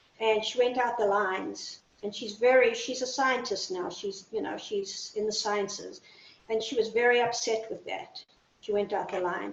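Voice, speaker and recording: With noticeable background noise behind her, a woman speaks at a moderate pace, her fairly high pitch held to fairly even intonation. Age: 60s. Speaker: artist. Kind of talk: interview. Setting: video call.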